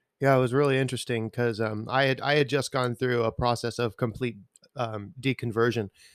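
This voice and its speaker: A man talks at a fairly quick pace in a normal speaking voice, medium in pitch with fairly even intonation. The sound is dry and close, with no echo. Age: 30s. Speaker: worship musician. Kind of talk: testimony.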